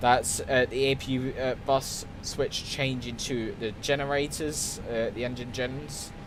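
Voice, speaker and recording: With hardly any pauses, a man talks at a fairly slow pace in a monotone, flat voice of medium pitch, over noticeable background noise. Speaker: flight simulator streamer. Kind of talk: gameplay tutorial commentary.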